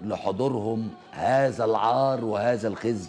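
Faint music plays in the background as a man with an Egyptian accent speaks at a very slow pace. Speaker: TV host. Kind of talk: TV monologue. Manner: impassioned, shouting. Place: studio. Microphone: lapel.

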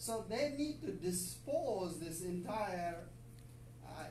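Amid audible room echo and light background noise, a man speaks at a very slow pace. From Pakistan. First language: Urdu. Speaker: visiting professor. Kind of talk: lecture. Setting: classroom. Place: classroom. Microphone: camera far.

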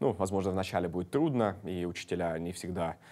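A man with a very deep, low voice and a dark, mellow tone talks at a fairly quick pace. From Estonia, Tallinn; Estonia. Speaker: city deputy mayor. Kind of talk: studio interview. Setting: studio. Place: studio. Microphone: lapel.

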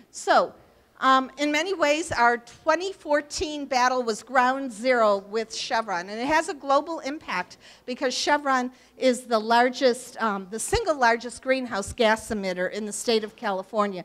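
This woman's voice is high in pitch. She speaks at a fairly slow pace. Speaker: local politician giving a talk. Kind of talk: public talk with slides. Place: hall.

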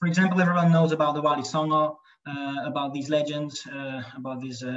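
A man's fairly high voice with a Hungarian accent and ordinary pitch variation, set against a quiet background. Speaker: lecturer. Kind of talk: lecture; Q&A answers. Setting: video call. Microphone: video call.

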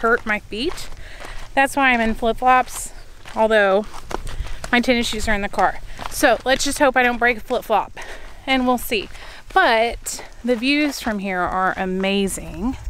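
With ordinary pitch variation, a woman speaks with long, frequent pauses, the sound dry with no echo and light background noise behind her. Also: fairly slow pace. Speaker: travel vlogger. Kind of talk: casual vlog chat. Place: open country. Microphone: phone near.

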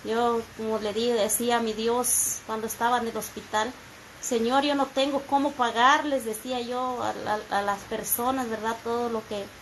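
A woman speaks at a fairly slow pace with monotone, flat intonation. Light noise runs in the background. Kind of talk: heartfelt thanks and religious testimony. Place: home room. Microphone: phone near.

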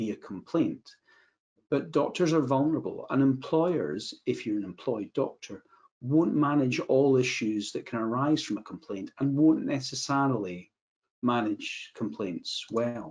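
A man's medium-pitched voice with a slightly husky edge, a slightly mellow tone, lively intonation and a fairly slow pace

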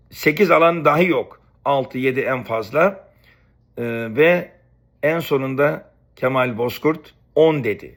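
At a very slow pace, a man with a fairly high pitch and ordinary pitch variation leaves long, frequent pauses. The recording is very clean, with a silent background. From Istanbul, Turkey (Beykoz), family from Rize. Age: 50s. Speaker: YouTuber, former student. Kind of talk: personal storytelling monologue.

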